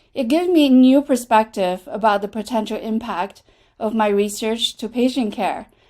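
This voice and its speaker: A woman's fairly high voice with a dark, mellow tone and a Chinese accent, lively intonation and a moderate pace. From China. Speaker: associate dean, clinician scientist. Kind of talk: prepared remarks at online town hall. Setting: video call.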